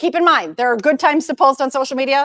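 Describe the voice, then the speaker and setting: Lively intonation at a fairly quick pace, in a dry, close sound with no echo. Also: woman. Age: 50s. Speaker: social media consultant. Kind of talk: presentation. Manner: fast.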